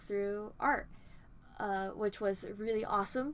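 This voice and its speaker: In a very clean recording with a silent background, a woman with a fairly high pitch and a bright, sharp tone speaks at a fairly slow pace. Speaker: art channel host. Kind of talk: casual vlog talk. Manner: hesitant with fillers.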